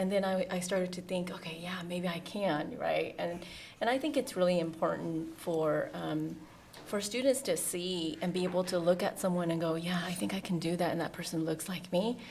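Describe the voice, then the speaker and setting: Here a woman with a Southeast Asian accent speaks at a fairly low pitch, with ordinary pitch variation. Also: moderate pace. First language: Hmong. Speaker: deputy school superintendent. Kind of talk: interview. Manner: halting, many fillers.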